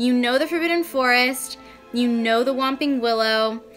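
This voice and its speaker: With music in the background, a woman speaks at a moderate pace in a high voice with ordinary pitch variation. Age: 20s. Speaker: vlogger. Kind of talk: casual vlog. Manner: animated.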